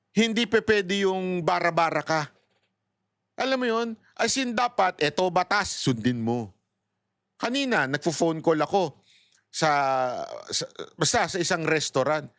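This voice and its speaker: At a high pitch, a man speaks at a fairly slow pace with long, frequent pauses and very wide pitch swings. The very clean recording has a silent background and a dry, close sound with no echo. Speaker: political commentator. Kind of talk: casual storytelling commentary. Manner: animated.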